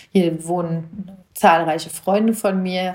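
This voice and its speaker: With monotone, flat intonation, a woman talks at a fairly low pitch. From Germany, Hesse (Marburg Hinterland). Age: 40s. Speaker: judge and mayoral candidate podcaster. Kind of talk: personal monologue podcast.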